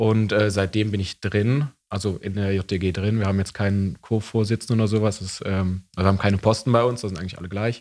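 Here is a man with a plain, everyday voice, pitched fairly low. He moves at a fairly quick pace with hardly any pauses and fairly even intonation. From East Belgium (German-speaking). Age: 20s. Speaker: youth party member, student. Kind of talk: casual interview.

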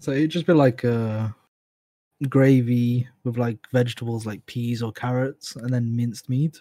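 A man speaks fairly slowly, his tone dark and mellow. His intonation is fairly even, and the sound is dry and close with no echo. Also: medium pitch for a man. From Birmingham, England. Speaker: guest. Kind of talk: casual chat.

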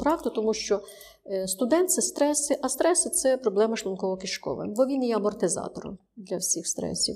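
Lively in intonation and fairly high-pitched, a woman talks at a fairly quick pace over noticeable background noise. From Ukraine, Ternopil. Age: 60s. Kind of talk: interview. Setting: studio.

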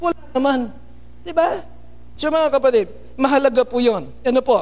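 A man with an extremely high pitch talks at a moderate pace. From Philippines. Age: 50s. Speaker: pastor. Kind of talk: sermon.

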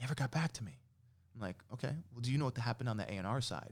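Talking at a very fast pace, a man with an American accent has a medium pitch. His voice is somewhat breathy. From New York City / Jersey City area. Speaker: musician. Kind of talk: casual interview.

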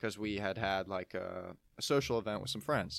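This man has a fairly low pitch and vocal fry, and he talks at a fairly quick pace. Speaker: powerlifter sharing mental health story. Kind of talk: casual chat.

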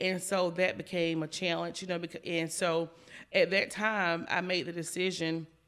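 In an American accent, a woman talks at a moderate pace with a fairly low pitch and monotone, flat intonation. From South Carolina. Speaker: insurance agency manager. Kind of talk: interview.

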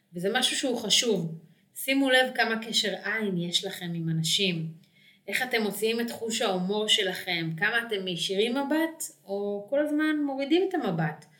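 Amid audible room echo, a woman speaks in a fairly high pitch with very wide pitch swings. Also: moderate pace. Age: 30s. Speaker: dating coach. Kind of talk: solo podcast talk.

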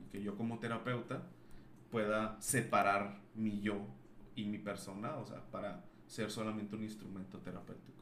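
In a room with audible echo, a man with a fairly low pitch talks at a moderate pace with fairly even intonation. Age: 30s. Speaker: psychologist. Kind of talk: casual chat.

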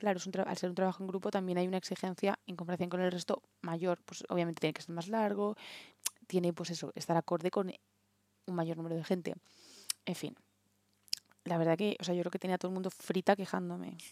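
Very fast yet broken by long, frequent pauses, a woman's speech has a fairly low pitch, a dark, mellow tone and monotone, flat intonation. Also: dry, close sound with no echo. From Spain. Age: 20s. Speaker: podcast co-host. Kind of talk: casual chat.

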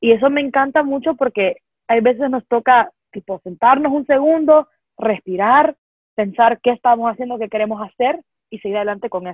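A woman in a Honduran accent speaks at a high pitch with ordinary pitch variation and big swings in loudness. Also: moderate pace. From Honduras. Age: 20s. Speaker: poet and author, university student. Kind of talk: interview.

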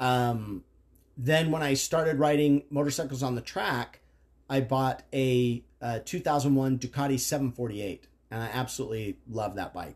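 A man speaks at a fairly slow pace in an unremarkable speaking voice. His pitch is medium, with ordinary pitch variation. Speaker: father of the host, motorcycle enthusiast. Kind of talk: casual chat.

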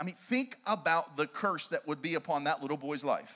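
A man with an American accent uses a raised, projected voice that is bright, sharp and animated in tone. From Pittsburgh, Pennsylvania. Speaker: evangelist, guest preacher. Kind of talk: sermon. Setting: church with live audience. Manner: repetitive stammering restarts.

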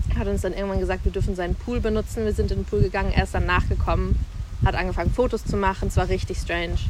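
Noticeable noise runs behind a woman who talks very rapidly. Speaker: podcast guest. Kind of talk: casual chat. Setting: outdoors.

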